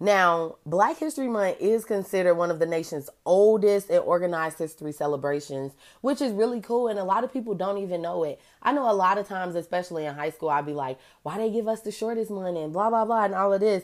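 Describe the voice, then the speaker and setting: An animated tone at a very fast pace, with lively intonation. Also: woman, medium pitch for a woman. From Chicago. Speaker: podcast host. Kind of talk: casual solo podcast monologue.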